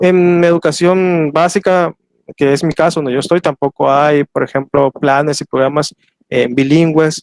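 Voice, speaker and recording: A man speaks at a fairly slow pace in a fairly high pitch, with fairly even intonation and very even loudness. The sound is dry and close with no echo. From Soconusco, Chiapas, southern Mexico. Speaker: historian and teacher. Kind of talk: lecture Q&A. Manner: hesitant, many fillers.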